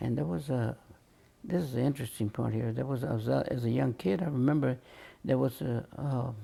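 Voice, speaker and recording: A man with an American accent, a dark, mellow tone, and a medium pitch, somewhat breathy, with lively intonation and a fairly quick pace. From Harbor City, California. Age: 80s+. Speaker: grandfather telling family history. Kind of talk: oral history interview. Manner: halting, many fillers.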